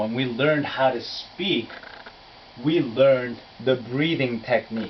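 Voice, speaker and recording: A man with a Korean accent, over noticeable background noise. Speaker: English pronunciation teacher. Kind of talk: lecture.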